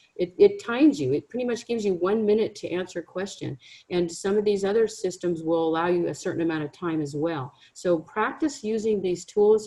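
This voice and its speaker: A woman's dark, mellow tone at medium pitch, with lively intonation, a fairly quick pace and hardly any pauses. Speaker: career counselor. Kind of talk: webinar presentation. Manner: fast.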